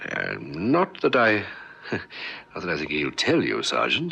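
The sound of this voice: In a put-on character voice, the speaker goes at a slow pace with very wide pitch swings, a bright, sharp tone and vocal fry. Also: man, low pitch for a man.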